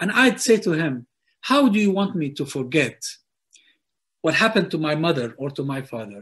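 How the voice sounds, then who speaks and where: A man talks at a moderate pace with long, frequent pauses. His pitch is fairly high and swings very widely. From Palestine (Hebron). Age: 60s. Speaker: political commentator. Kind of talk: interview. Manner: hesitant, many fillers.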